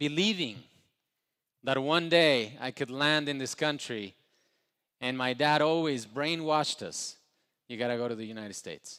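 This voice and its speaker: With a Spanish accent, a man speaks at a fairly slow pace and fairly high pitch, with ordinary pitch variation, big swings in loudness and long, frequent pauses. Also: very clean recording, silent background. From Ecuador. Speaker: entrepreneur, motivational speaker. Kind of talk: motivational speech. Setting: stage with live audience.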